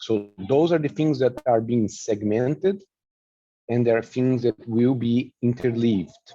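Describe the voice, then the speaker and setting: Dark and mellow in tone, a man with a non-native accent speaks in a medium pitch with lively intonation. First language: not English. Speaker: flute teacher presenting a workshop. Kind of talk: online workshop presentation. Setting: online video presentation.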